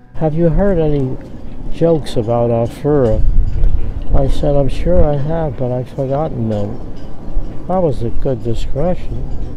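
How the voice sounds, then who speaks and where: Speech comes at a fairly slow pace with ordinary pitch variation, the sound dry with no echo but with noticeable background noise. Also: man, fairly high pitch for a man. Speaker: war veteran. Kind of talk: interview answer. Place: waterside.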